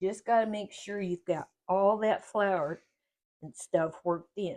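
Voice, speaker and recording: A fairly slow delivery in a Kentucky accent, with big swings in loudness and ordinary pitch variation. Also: woman, medium pitch for a woman. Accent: Kentucky Southern US. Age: 70s. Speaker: home cooking video host. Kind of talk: cooking tutorial. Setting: home kitchen.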